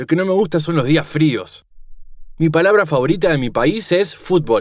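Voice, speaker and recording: Lively intonation from a man with an unremarkable speaking voice, fairly high in pitch, at a moderate pace. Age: 20s. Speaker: teacher.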